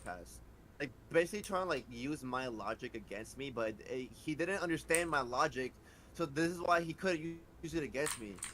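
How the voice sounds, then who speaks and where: Using lively intonation and vocal fry, a man speaks at a fairly quick pace. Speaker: streamer. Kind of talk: casual chat. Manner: stuttering.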